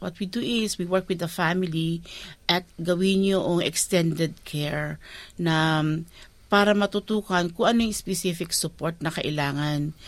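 Fairly low in pitch, a woman with an unremarkable speaking voice keeps a fairly even intonation at a moderate pace. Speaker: community service provider. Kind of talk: interview.

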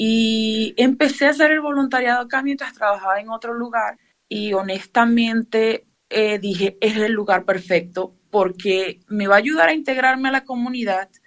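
With a Venezuelan accent, a woman speaks at a fairly high pitch. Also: ordinary pitch variation, moderate pace. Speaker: museum tour guide. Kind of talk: interview.

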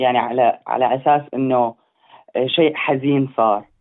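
A man speaks with a Syrian accent. His pitch is fairly high and his pace fairly slow. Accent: Levantine Syrian Arabic. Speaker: medical student. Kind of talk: interview. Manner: halting.

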